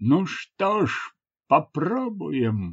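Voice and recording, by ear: A man's put-on character voice, fairly high, with a slightly husky edge, big pitch swings, and a very slow pace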